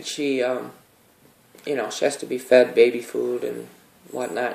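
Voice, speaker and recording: Speaking at a moderate pace, the man has a medium pitch. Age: 50s. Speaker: vlogger sharing personal experience. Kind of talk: personal testimony monologue. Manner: hesitant, with many fillers.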